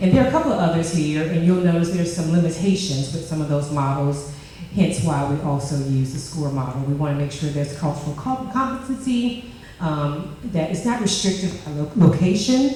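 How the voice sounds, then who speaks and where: Over noticeable background noise and audible room echo, a woman speaks fairly quickly in a fairly low voice with very wide pitch swings. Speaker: leadership program participant presenting. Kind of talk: group presentation.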